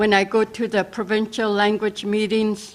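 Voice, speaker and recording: At a very slow pace, a woman speaks at a medium pitch with monotone, flat intonation. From northern British Columbia, Wet'suwet'en area. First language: Wet'suwet'en. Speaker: First Nations language educator. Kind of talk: personal introduction speech. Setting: virtual assembly broadcast.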